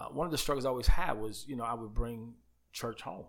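With an ordinary speaking voice, a man talks at a fairly quick pace in a medium pitch. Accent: American. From New York (Queens, Uniondale, Long Island). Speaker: pastor. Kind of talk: casual interview.

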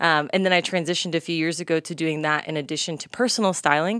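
A woman with an American accent and a very deep, low pitch, speaking at a very fast pace with ordinary pitch variation, in a dry, close sound with no echo on a very clean recording with a silent background. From North Texas, US. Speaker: fashion entrepreneur and stylist. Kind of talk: casual interview chat.

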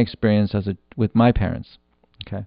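A man is speaking. His pace is moderate. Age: 40s. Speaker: podcast host. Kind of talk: solo monologue podcast. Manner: halting, many fillers and restarts.

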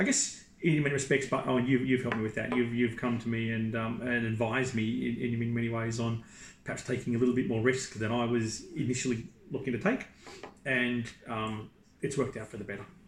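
A man speaks fairly quickly at a medium pitch with fairly even intonation, and audible room echo surrounds his voice. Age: 40s. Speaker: property investor and executive recruiter. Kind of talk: interview. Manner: halting.

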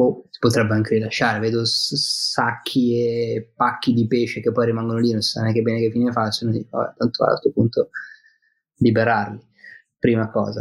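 Somewhat breathy and at medium pitch, a man's voice comes through. He talks in a monotone, flat intonation at a moderate pace. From Milan, northern Italy. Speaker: fishing guest, fly and spinning angler. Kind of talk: casual chat.

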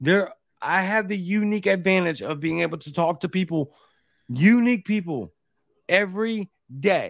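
A high-pitched man with a Louisiana accent at a moderate pace, on a very clean recording against a silent background. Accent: Louisiana Southern. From Baton Rouge, Louisiana. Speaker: podcast host. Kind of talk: casual chat.

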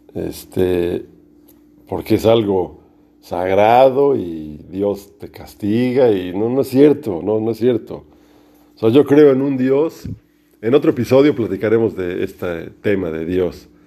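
A man speaks at a very slow pace with lively intonation. His tone is dark and mellow, his pitch fairly low. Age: 50s. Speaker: podcaster. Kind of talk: casual monologue. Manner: halting.

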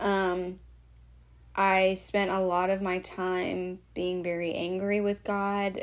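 A woman speaks at a medium pitch in a flat monotone. Her pace is very slow. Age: 30s. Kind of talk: casual monologue. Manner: hesitant, many fillers.

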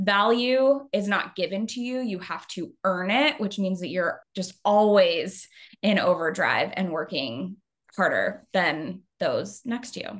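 A woman with an American accent, medium-pitched, with lively intonation at a very slow pace. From Arizona. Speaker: communications consultant and tech sales leader. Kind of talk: interview conversation.

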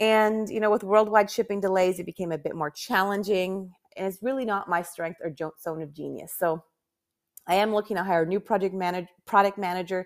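Delivered at a fairly quick pace, a plain, everyday voice keeps a fairly even intonation. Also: woman, medium pitch for a woman. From Canada. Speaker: podcast host, professional organizer and business owner. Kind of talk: solo podcast monologue. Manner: casual, frequent laughs and fillers.

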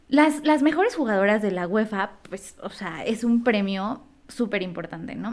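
With very wide pitch swings, a woman with a fairly high pitch speaks at a fairly slow pace. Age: 20s. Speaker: podcast co-host. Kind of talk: casual chat.

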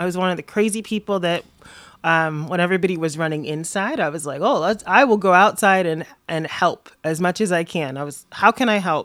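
In a very clean recording with a silent background, a woman with an American accent and an ordinary speaking voice talks at a fairly quick pace, with fairly low pitch and ordinary pitch variation. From Florida, US South. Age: 30s. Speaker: activist and city council candidate. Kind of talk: casual interview conversation. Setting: her apartment, in person.

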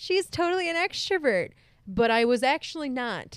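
The voice is loud, with very wide pitch swings. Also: woman. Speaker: podcast co-host. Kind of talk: casual chat.

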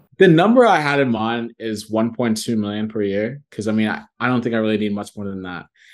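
Against a quiet background, a man in a plain, everyday voice with a General American accent talks at a fairly quick pace and medium pitch, with ordinary pitch variation and hardly any pauses. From US Midwest (Columbus, Ohio), Nigerian family. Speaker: real estate broker. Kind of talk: interview.

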